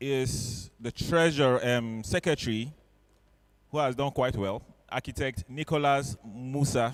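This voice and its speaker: This man speaks at a very slow pace. His pitch is medium, with ordinary variation. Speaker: electoral officer announcing election results at a professional meeting. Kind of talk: formal announcement at a meeting. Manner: halting.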